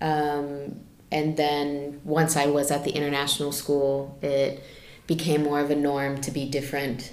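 A monotone, flat delivery in an American accent at a fairly slow pace, with audible room echo. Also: woman, very deep, low pitch for a woman. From United States. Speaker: health practitioner. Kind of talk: casual chat.

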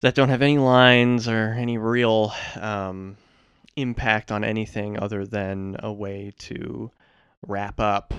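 Against a quiet background, a man with an unremarkable speaking voice keeps a fairly low pitch and fairly even intonation. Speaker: co-host. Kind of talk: casual comedic chat about a movie. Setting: recording studio.

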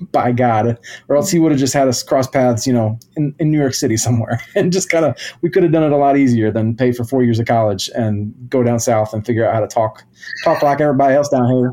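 At a fairly quick pace, a man with a medium pitch talks in a dark, mellow tone with ordinary pitch variation. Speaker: musician. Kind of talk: casual interview chat.

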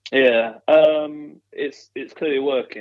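Someone with a Yorkshire accent speaks at a very slow pace. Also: man. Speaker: football fan guest. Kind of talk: casual chat.

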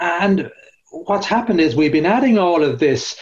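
With an Irish accent, a man speaks at a fairly slow pace, his intonation lively. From Ireland. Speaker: corporate real estate expert and author. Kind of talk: podcast interview. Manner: hesitant, many fillers.

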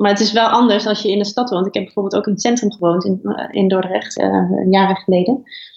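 The speech comes at a very fast pace in a monotone. Intonation stays flat and loudness very even. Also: woman, medium pitch for a woman. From Twente (Oldenzaal), Netherlands. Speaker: editor-in-chief of an online platform. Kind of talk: interview.

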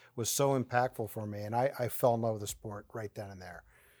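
Recorded very cleanly over a silent background, a man with an American accent and a plain, everyday voice speaks at a medium pitch with fairly even intonation. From Ohio, US Midwest. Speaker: college track and cross country coach. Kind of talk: casual interview.

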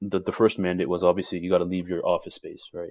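With a Canadian accent, a man talks in a dark, mellow tone over a very clean recording with a silent background. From Ontario, Canada (Waterloo). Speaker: product manager. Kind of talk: casual chat.

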